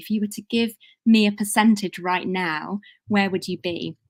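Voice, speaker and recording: Using fairly even intonation, a woman speaks with a British accent. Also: very clean recording, silent background. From UK. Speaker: women's leadership consultant. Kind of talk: conference presentation.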